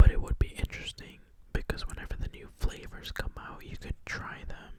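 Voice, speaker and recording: The voice is whispering. Background noise can be clearly noticed. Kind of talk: ASMR soft-spoken fact reading; casual talk to camera. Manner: soft-spoken.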